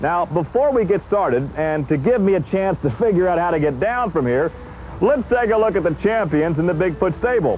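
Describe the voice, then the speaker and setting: A man speaks at a high pitch and a fairly quick pace, with lively intonation and an upbeat tone. His loudness stays very even against noticeable background noise. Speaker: TV host. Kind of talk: home video host narration. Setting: outdoors.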